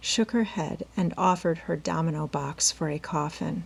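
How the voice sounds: A woman speaks at a fairly slow pace. Her tone is slightly mellow, with vocal fry.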